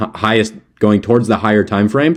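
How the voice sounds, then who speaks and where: At a moderate pace, a man talks in a fairly low pitch. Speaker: trading educator. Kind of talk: tutorial. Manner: halting, filler-heavy; casual.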